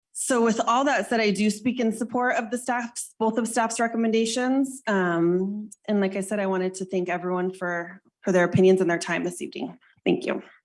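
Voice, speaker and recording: A woman with an American accent talks at a fairly quick pace in a plain, everyday voice. Her pitch is fairly high with ordinary variation, and the background is quiet. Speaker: planning commissioner. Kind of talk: public meeting deliberation.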